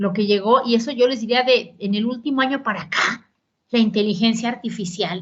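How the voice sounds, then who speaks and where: A woman's fairly high, somewhat breathy voice in a Mexican accent, at a moderate pace with ordinary pitch variation. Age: 60s. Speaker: politician and economist. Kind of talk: conference lecture. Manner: conversational.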